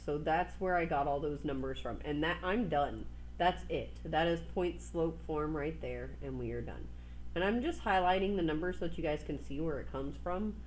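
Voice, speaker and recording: A woman speaks at a moderate pace. There is audible echo in the room. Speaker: math teacher. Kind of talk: recorded math lesson.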